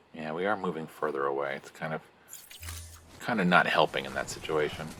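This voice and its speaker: Quiet speech comes at a very fast pace with fairly even intonation. Noticeable background noise sits under it. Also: man. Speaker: gaming streamer. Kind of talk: let's play commentary. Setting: live stream. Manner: speaking very quietly.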